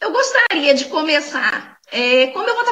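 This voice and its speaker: A woman with a Minas Gerais accent, very wide pitch swings and a fairly slow pace, over noticeable background noise. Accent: Brazilian Portuguese, mineiro. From Brazil, Minas Gerais (Belo Horizonte). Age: 40s. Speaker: online conference speaker. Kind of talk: talk. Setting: online talk. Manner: halting, with many fillers.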